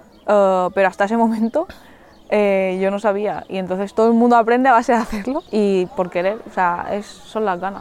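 Fairly even intonation marks a woman's medium-pitched voice, an unremarkable speaking voice. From Mallorca, Spain. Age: 20s. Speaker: Olympic wrestler. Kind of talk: casual interview. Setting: outdoors in a forest.

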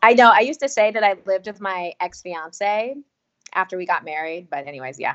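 Speaking in a plain, everyday voice with an American accent, a woman moves at a fairly quick pace at medium pitch, her intonation lively and her loudness swinging widely. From US South, North Carolina. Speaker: podcast writer and teacher. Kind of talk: casual chat. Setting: video call.

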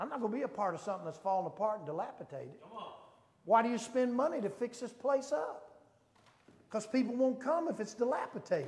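A man speaks at a very fast pace in an extremely high voice. His tone is animated and his intonation lively. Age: 60s. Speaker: preacher. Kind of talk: sermon. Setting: church. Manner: animated, rhetorical call-and-response preaching.

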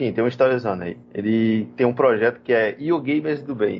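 With ordinary pitch variation and an unremarkable speaking voice, a man talks at a moderate pace. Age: 30s. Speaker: computer science student and podcast co-host. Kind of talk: casual chat.

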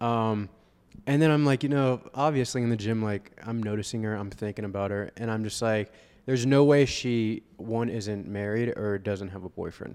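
A man's plain, everyday voice with an American accent, at a moderate pace and with fairly even intonation. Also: medium pitch for a man. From Florida, Vero Beach. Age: 20s. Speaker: real estate agent and fitness coach. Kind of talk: casual chat. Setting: coffee shop.

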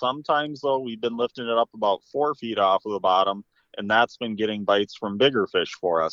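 A normal speaking voice from a man at medium pitch and a fairly quick pace. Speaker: fishing guide. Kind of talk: casual interview. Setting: phone call.

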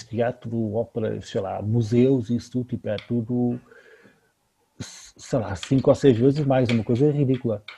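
Dark and mellow in tone, this voice carries a somewhat breathy quality. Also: man. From Lisbon, Portugal. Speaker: podcast co-host. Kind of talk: casual chat.

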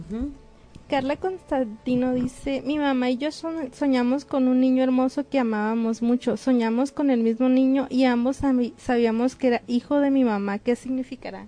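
A woman with a northern Mexican accent, high-pitched, with fairly even intonation. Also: moderate pace. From northern Mexico. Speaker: radio guest. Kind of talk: radio call-in show.

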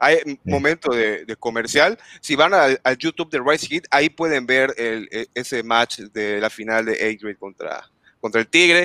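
On a very clean recording with a silent background, a man talks at a moderate pace and medium pitch. His tone is bright and sharp, with ordinary pitch variation. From Yucatán, Mexico. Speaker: gaming content creator. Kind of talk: casual chat.

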